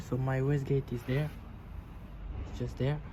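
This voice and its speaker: Somewhat breathy and flat in intonation, a man with a non-native accent speaks at a fairly high pitch. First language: not English. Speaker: car enthusiast video host. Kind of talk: casual video tutorial. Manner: halting, with repeated words.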